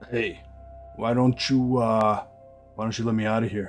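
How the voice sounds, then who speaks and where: A man puts on a gruff character voice while music plays clearly in the background. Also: medium pitch for a man, moderate pace. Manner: gruff, grunting.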